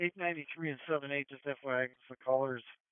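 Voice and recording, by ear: A man at a medium pitch, fast-paced, with a clear, smooth tone, fairly even intonation and a dry, close sound with no echo.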